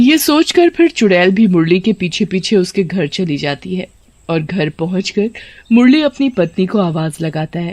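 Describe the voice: Plain reading aloud comes with lively intonation.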